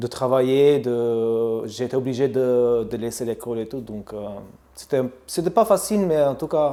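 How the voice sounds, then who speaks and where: Using an Albanian accent, a man speaks at a fairly slow pace and medium pitch, with a dark, mellow tone and ordinary pitch variation. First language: Albanian (speaking French). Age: 30s. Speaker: barbershop owner. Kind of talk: interview. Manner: halting.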